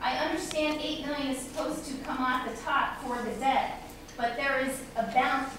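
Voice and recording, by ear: A woman speaks at a moderate pace in a high voice, with ordinary pitch variation and audible room echo.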